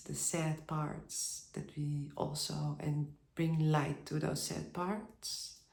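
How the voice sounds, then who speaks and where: A woman speaks at a very slow pace with a non-native accent. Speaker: spiritual vlogger. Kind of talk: personal video monologue. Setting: at home by a bath with candles. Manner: halting.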